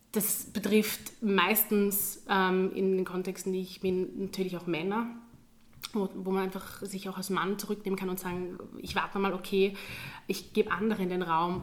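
A woman speaks at a medium pitch and a moderate pace. Her intonation stays monotone and flat. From Austria, Graz (Styria). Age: 20s. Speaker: teacher. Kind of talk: interview.

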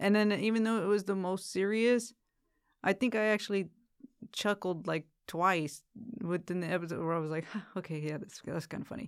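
A woman talks in a normal speaking voice at a medium pitch and a fairly quick pace. Her pitch varies in an ordinary way, and the recording is very clean with a silent background. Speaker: returning podcast guest. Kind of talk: casual chat.

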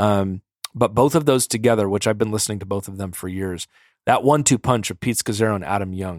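This man has a fairly low pitch with ordinary pitch variation and speaks at a fairly quick pace. The sound is dry and close, with no echo. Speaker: podcast host. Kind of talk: casual chat. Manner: animated, enthusiastic.

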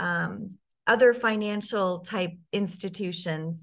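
This woman has an ordinary speaking voice at a medium pitch, with an American accent. Her intonation is fairly even, and the background is quiet. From US Midwest, Sioux Falls, South Dakota. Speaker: personal brand strategist. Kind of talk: interview.

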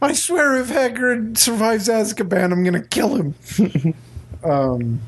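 This is a put-on character voice with fairly high pitch. It moves at a fairly slow pace over light background noise. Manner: exasperated, panicked.

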